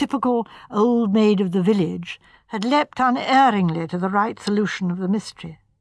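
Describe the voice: The text gets plain reading aloud with ordinary pitch variation.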